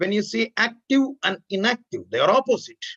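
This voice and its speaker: An extremely high-pitched male voice with ordinary pitch variation. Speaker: anesthesiology lecturer. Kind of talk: lecture. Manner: loud. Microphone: laptop mic, about thirty centimeters away.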